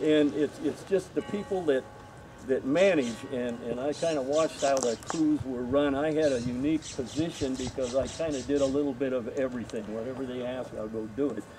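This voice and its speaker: Noticeable background noise sits behind this man. He talks at a fairly quick pace with ordinary pitch variation. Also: medium pitch for a man. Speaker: former film crew member and extra. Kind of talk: panel Q&A storytelling. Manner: loud.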